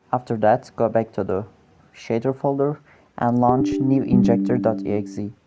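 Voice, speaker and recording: Over music in the background, a speaker with a non-native accent talks at a fairly slow pace. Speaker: gaming tutorial maker. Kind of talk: tutorial voiceover.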